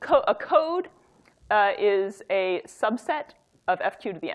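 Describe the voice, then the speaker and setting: A woman talks in a high pitch. Her voice moves in very wide pitch swings. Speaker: academic researcher giving a talk. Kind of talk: lecture. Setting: workshop talk with audience. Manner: fast; halting, many fillers and restarts.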